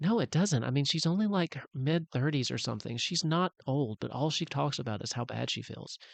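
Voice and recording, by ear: A woman's put-on character voice, extremely low-pitched with vocal fry, lively intonation, a fairly quick pace, and a dry, close sound with no echo.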